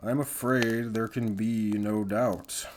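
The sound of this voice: A man puts on a character voice at a medium pitch. He speaks fairly slowly in a flat monotone.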